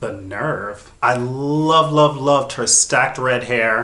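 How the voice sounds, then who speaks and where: A man with an American accent talks at a fairly high pitch amid noticeable background noise. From US South. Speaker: drag queen reviewer. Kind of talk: commentary reaction video.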